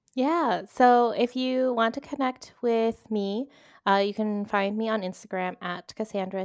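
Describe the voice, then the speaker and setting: A woman with an American accent at a fairly slow pace, ordinary pitch variation, and a dry, close sound with no echo on a very clean recording with a silent background. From US, Northern Virginia. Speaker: brand strategist and marketing consultant. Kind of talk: casual interview chat.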